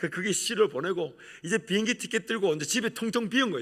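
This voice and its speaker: Speaking at a very fast pace, a man keeps his pitch variation ordinary. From Gyeongsang region, South Korea. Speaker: pastor. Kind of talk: sermon. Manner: animated.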